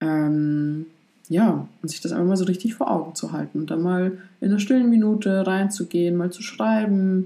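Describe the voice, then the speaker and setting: A woman at medium pitch with a dark, mellow tone speaks at a moderate pace with ordinary pitch variation in a very clean recording with a silent background. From Poland. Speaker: retreat cook and YouTuber. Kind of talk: personal testimony in interview.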